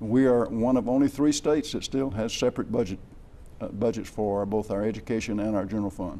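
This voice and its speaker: A man with an Alabama accent talks at a fairly quick pace. His medium-pitched voice has a dark, mellow tone and ordinary pitch variation. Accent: Southern US (Alabama). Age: 70s. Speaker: state legislator. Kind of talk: TV interview. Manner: halting.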